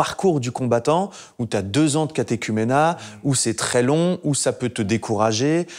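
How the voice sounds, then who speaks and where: The background is quiet. The delivery is fairly slow, with lively intonation. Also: man. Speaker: actor. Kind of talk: casual chat; group discussion, personal opinion. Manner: halting. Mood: earnest, reflective. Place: home room. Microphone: lapel.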